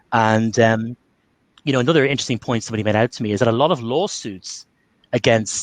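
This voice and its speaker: With an Irish accent, a man speaks at a medium pitch in a dry, close sound with no echo against a quiet background. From Ireland. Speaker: Covid survivor and communication trainer. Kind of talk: webinar talk with Q&A.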